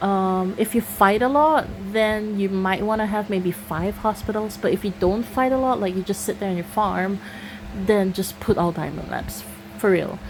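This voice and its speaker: A woman with a Singaporean accent speaks at medium pitch and a moderate pace. Her pitch varies in an ordinary way, and noticeable background noise is present. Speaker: gaming YouTuber. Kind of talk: casual Q&A chat. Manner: casual, with fillers and false starts.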